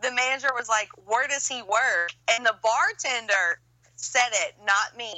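A high-pitched woman with an American accent talks at a fairly slow pace with ordinary pitch variation. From Pineville, Louisiana. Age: 30s. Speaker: podcast host guest. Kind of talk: casual chat.

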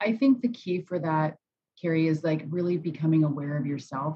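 A woman speaks at a fairly quick pace. Her voice is somewhat breathy. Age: 40s. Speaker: life coach. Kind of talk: casual interview chat.

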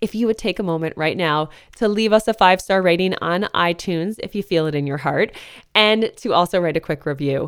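This woman has an ordinary speaking voice and an American accent, pitched in the medium range. Her pace is fairly quick, with ordinary pitch variation. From northeastern US. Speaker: podcast host. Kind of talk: scripted narration; interview.

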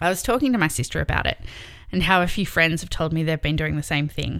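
This very clean recording has a silent background. The voice carries an Australian accent. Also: woman. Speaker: podcast host. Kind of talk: personal monologue.

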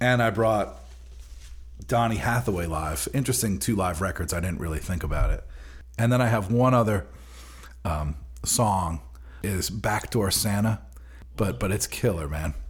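With a very deep, low pitch and vocal fry, this man swings his pitch very widely and leaves long, frequent pauses. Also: moderate pace. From Long Island, New York. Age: 40s. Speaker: bassist. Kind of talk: interview.

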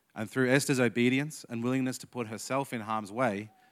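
Over a silent background in a very clean recording, a man with an Australian accent talks at a fairly quick pace. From Australia, Canberra. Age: 30s. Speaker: youth leader giving a sermon. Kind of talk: sermon.

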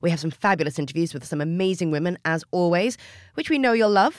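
Delivered at a very fast pace, this very clean recording has a silent background. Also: woman. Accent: Australian. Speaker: podcast host. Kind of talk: interview.

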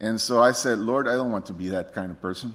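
A man talks with a Spanish accent. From Costa Rica. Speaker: missionary preacher. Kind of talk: sermon. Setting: church.

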